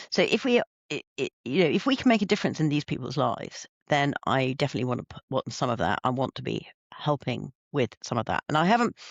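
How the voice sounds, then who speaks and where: Talking at a very fast pace with vocal fry, a man swings his pitch very widely. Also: fairly high pitch for a man. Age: 60s. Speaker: professor and business leader. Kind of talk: interview. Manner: halting, many restarts.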